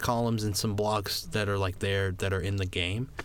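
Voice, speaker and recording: With audible echo from the room, a man speaks fairly quickly. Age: young. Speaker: podcast co-host, college student. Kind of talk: casual chat.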